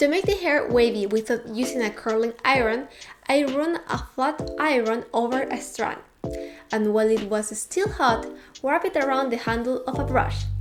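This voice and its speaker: Over music in the background, a woman speaks at a moderate pace with a fairly high pitch. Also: ordinary pitch variation. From Chile. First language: Spanish. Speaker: cosplayer. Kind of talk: craft tutorial voice-over.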